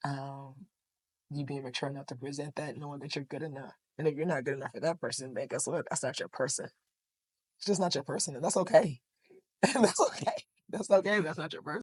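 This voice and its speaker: A woman speaks at a very fast pace with a very deep, low pitch and ordinary pitch variation. Her loudness swings widely, with long, frequent pauses. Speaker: podcast guest. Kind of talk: casual chat.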